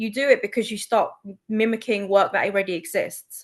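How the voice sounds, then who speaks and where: The woman speaks at a fairly quick pace. Her intonation stays fairly even. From London, England. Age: 40s. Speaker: copywriter. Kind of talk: casual chat.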